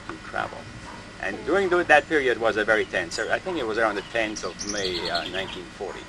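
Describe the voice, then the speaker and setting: Set against noticeable background noise, a man talks with ordinary pitch variation. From Switzerland, Jura Mountains. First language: Swiss German. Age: 60s. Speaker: interviewee recalling World War II. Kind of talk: oral history interview. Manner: halting.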